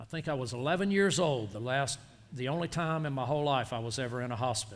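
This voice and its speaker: A man's medium-pitched voice at a very fast pace, with lively intonation. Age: 60s. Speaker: farmer and agricultural consultant. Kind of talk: workshop Q&A. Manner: animated.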